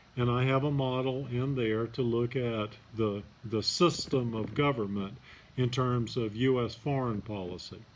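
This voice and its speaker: The recording has audible room echo. A man speaks at a medium pitch. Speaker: college professor. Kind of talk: lecture. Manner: soft-spoken; hesitant, many fillers.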